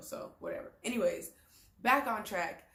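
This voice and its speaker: Speaking loudly, a woman uses an American accent at a moderate pace. Her voice carries audible room echo. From Texas. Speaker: YouTuber, new mother. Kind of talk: casual vlog talk. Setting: home, front-facing camera.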